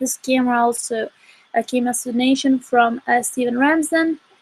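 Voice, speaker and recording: The recording is dry and close, with no echo. A woman speaks in a high voice. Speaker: astronomy outreach director. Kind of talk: live-stream commentary. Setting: live online broadcast, outdoor observing. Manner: casual, halting with fillers.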